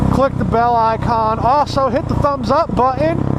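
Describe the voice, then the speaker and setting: A man talks over noticeable background noise. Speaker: motovlogger. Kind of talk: casual vlog monologue.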